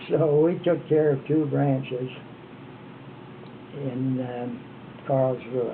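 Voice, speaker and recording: A man with an American accent talks at a very slow pace and a medium pitch, with fairly even intonation and long, frequent pauses. Audible room echo and noticeable background noise are present. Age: 80s+. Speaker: retired former missionary. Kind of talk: oral history interview.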